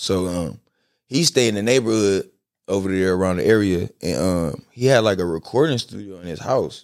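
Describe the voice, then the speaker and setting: On a very clean recording with a silent background, a man with a fairly low pitch speaks at a moderate pace with lively intonation and big swings in loudness. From Compton, Los Angeles, California. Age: 20s. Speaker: rapper. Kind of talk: casual chat. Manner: laughs often.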